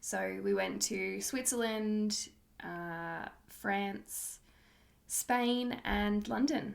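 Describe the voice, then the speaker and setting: Someone with an Australian accent speaks at a very slow pace. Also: woman. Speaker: podcast host. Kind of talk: casual monologue.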